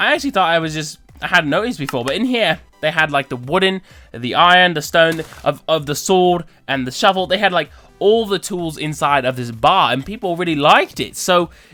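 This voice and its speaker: The intonation is lively and the pace fairly quick. Music plays in the background. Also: man, high pitch for a man. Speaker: gaming video creator. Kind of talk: casual gameplay commentary.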